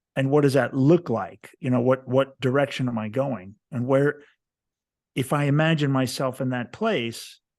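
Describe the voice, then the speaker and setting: Against a quiet background, a man with an American accent has a normal speaking voice at a medium pitch. He talks at a moderate pace with ordinary pitch variation. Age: 60s. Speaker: author and podcast host. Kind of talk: casual chat.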